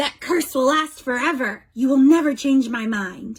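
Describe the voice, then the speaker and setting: At a moderate pace, a woman growls in a put-on character voice pitched high. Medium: read story. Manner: haughty.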